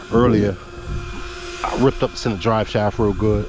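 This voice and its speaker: A man with a fairly low pitch and fairly even intonation keeps a moderate pace while noticeable background noise continues. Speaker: RC car hobbyist youtuber. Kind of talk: casual hobby vlog commentary.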